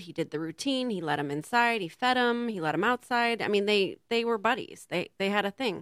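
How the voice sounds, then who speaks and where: In a very clean recording with a silent background, a woman talks at a medium pitch in a normal speaking voice. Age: 40s. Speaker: raw food chef and teacher. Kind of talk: casual interview chat. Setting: community TV studio.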